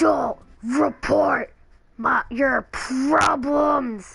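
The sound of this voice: A put-on character voice, female-sounding and high-pitched for a woman.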